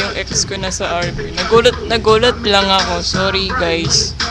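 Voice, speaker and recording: A man with a high voice speaks at a fairly slow pace in a raised, projected voice. Noticeable background noise and audible room echo fill the recording. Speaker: online roleplay community member giving shout-outs. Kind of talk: casual vlog greetings.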